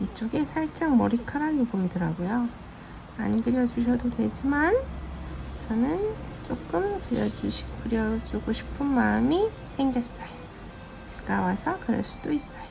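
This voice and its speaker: A woman in a relaxed tone at a fairly slow pace, with long, frequent pauses and noticeable background noise. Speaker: digital art tutorial creator. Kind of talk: drawing tutorial. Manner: relaxed with many filler sounds.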